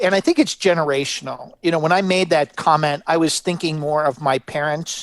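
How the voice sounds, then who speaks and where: A man speaks at a fairly quick pace in an ordinary speaking voice, fairly high in pitch with fairly even intonation. The sound is dry and close with no echo. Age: 60s. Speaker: gender strategist. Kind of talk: interview.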